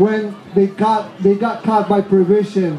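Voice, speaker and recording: A man with a high pitch and an Argentine accent, audible room echo, noticeable background noise. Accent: Argentinian Spanish accent in English. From Argentina. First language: Spanish. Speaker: hemp activist. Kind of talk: festival speech. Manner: halting.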